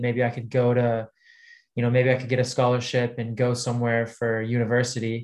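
Recorded very cleanly over a silent background, a man speaks at a medium pitch. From Texas. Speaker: basketball player. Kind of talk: casual interview chat.

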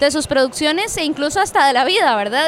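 A woman's high-pitched voice, lively intonation and very fast pace, over noticeable background noise. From Costa Rica, Cartago. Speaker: podcast host. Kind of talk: casual chat and interviews. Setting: book fair venue.

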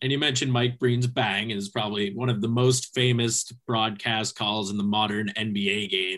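A man speaks at a moderate pace with a fairly low pitch. He has a normal speaking voice. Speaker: podcast host. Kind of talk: casual interview.

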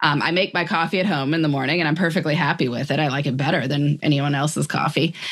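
A woman's very deep, low voice at a very fast pace, with hardly any pauses, very even loudness and noticeable background noise. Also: fairly even intonation. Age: 40s. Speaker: author on time management. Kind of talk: interview conversation.

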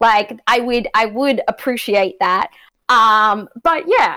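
A woman speaks with an Australian accent. Her pitch sits fairly high. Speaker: sports media podcaster.

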